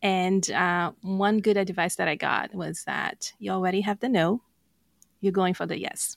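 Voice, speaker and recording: The delivery is monotone and flat, at a fairly slow pace in a Brazilian accent. The recording is very clean, with a silent background. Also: woman, medium pitch for a woman. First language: Portuguese. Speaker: life coach and podcast co-host. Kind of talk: interview conversation.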